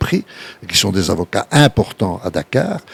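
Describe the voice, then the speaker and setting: A man speaks at a fairly slow pace with very wide pitch swings, in a dry, close sound with no echo. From Belgium. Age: 80s+. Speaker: entrepreneur and investor. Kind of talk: interview.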